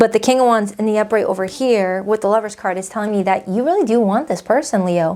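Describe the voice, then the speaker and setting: A woman's fairly high voice with a dark, mellow tone, a very fast pace and ordinary pitch variation. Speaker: tarot reader. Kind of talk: tarot reading to camera. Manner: casual, chatty.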